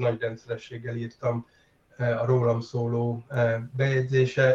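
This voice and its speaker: Somewhat breathy, a man talks at medium pitch with monotone, flat intonation. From Hungary. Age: 50s. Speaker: tabletop role-playing game designer. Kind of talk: interview. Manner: halting, many fillers.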